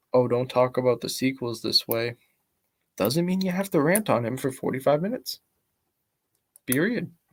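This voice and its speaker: A soft-spoken voice with ordinary pitch variation comes through on a very clean recording against a silent background. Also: man. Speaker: YouTuber. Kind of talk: commentary vlog. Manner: halting.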